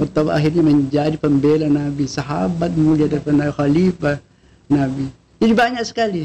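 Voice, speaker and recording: Somewhat breathy and dark, mellow in tone, a man speaks fairly quickly at a fairly high pitch with ordinary pitch variation and very even loudness. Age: 70s. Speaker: Islamic scholar. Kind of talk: religious podcast interview.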